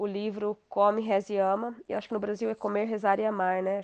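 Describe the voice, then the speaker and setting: A woman talks at a moderate pace in a fairly high pitch, with an unremarkable speaking voice. The sound is dry and close with no echo, over a quiet background. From Brazil, interior of Paraná. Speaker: author. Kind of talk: interview testimony.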